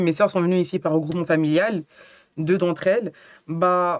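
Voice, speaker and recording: At a fairly slow pace, a woman talks in a medium-pitched voice. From France, Cameroonian family. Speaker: writer and workshop leader. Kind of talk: casual interview chat. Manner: hesitant, many fillers.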